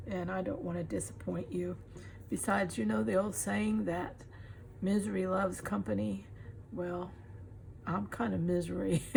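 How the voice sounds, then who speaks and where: There is audible room echo as a woman with a Texan accent talks at a moderate pace, leaving long, frequent pauses. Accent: Texan Southern US. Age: 70s. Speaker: crafter. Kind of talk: casual tutorial.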